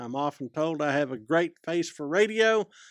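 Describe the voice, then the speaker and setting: The speaker's pitch swings very widely in a Southwest Texas accent. The sound is dry and close with no echo, in a very clean recording with a silent background. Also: man. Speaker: professor and podcast co-host. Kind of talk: casual chat.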